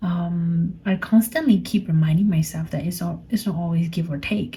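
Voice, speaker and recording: In a Burmese accent, the somewhat breathy speaker uses a dark, mellow tone, ordinary pitch variation and a moderate pace. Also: woman. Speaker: podcaster. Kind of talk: personal reflective monologue. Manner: halting.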